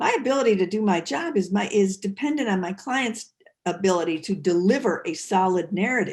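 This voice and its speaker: Somewhat breathy and medium-pitched, a woman speaks at a fairly quick pace. Her pitch swings very widely. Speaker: defense attorney. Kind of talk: lecture.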